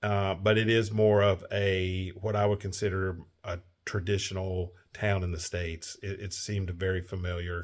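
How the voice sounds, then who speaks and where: A man with a Kentucky accent talks at a moderate pace in a relaxed tone, his pitch fairly low. His intonation stays fairly even against a quiet background. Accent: Kentucky Southern. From Kentucky, Owensboro. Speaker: travel vlogger. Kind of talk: casual chat. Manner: relaxed, many fillers.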